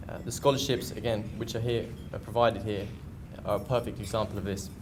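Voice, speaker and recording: A somewhat breathy man with an English accent, at a very fast pace in a monotone, flat intonation, with audible room echo. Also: medium pitch for a man. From England. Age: 20s. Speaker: community college student and soccer player. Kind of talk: prepared speech at luncheon. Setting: luncheon event with audience. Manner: hesitant, with frequent fillers.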